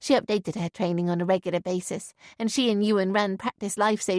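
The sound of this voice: This is an unforced reading voice. It reads through the clip.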